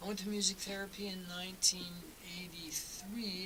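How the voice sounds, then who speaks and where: A man with a Canadian accent speaks in a high voice with fairly even intonation over noticeable background noise. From eastern Canada. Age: 60s. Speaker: folk singer-songwriter. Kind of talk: radio interview. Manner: casual, with frequent fillers and repetitions.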